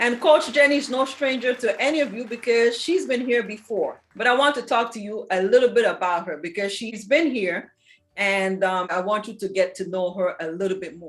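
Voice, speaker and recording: On a very clean recording with a silent background, a woman with an unremarkable speaking voice talks at a moderate pace and a fairly high pitch, with lively intonation and big swings in loudness. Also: hardly any pauses. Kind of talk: casual talk to camera.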